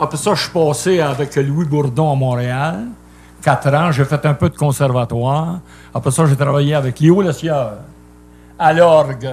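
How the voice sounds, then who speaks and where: A man speaks slightly breathily at a fairly high pitch. His pace is fairly slow, with long, frequent pauses. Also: ordinary pitch variation. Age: 70s. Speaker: singer. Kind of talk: casual chat.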